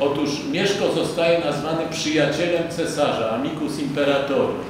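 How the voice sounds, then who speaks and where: Amid noticeable background noise and strong room echo, a man speaks at a moderate pace with fairly even intonation. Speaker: lecturer. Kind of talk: lecture. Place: hall. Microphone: podium.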